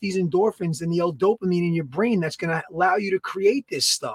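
The speech comes at a fairly quick pace in an American accent with ordinary pitch variation. The sound is dry and close, with no echo. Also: man. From US Northeast, Long Island. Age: 30s. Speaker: fitness and food podcast host, gym owner. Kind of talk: casual chat, podcast banter. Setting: live broadcast from home or gym. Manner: animated, talkative.

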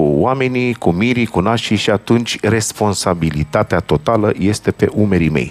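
A man with a plain, everyday voice talks at a moderate pace, with fairly low pitch and ordinary pitch variation. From Romania, Bucharest (Rahova). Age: 50s. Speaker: accordionist, band leader. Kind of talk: interview chat between songs.

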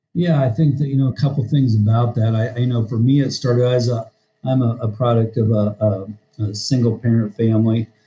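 Speaking in a US Midwestern accent, a man with a medium pitch and a dark, mellow, somewhat breathy tone moves at a fairly quick pace with fairly even intonation and very even loudness. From Iowa, US Midwest. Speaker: high school football coach. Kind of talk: casual interview.

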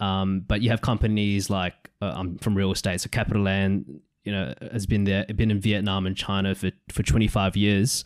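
Recorded very cleanly against a silent background, a man talks with an unremarkable speaking voice. His pitch is fairly low, his pace moderate, and his intonation fairly even. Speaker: podcast host. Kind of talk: interview.

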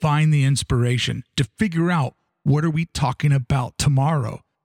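A man speaks with a fairly high pitch and ordinary pitch variation. His voice is somewhat breathy. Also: dry, close sound with no echo. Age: 40s. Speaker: podcaster. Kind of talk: personal monologue.

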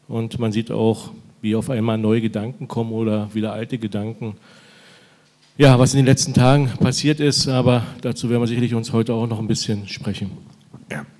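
A man of medium pitch with a dark, mellow tone, fairly even intonation, a fairly quick pace and long, frequent pauses. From eastern Germany, Lusatia (Weißwasser). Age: 50s. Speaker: mayor. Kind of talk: live podcast interview. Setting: stage with live audience.

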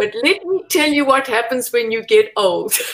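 Very wide pitch swings mark a woman's high voice. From South Africa. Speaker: Pilates teacher, former ballerina and physical therapist. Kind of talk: interview.

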